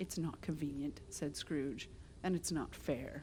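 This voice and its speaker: A soft-spoken woman talks at a very slow pace with vocal fry and ordinary pitch variation. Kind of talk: read story.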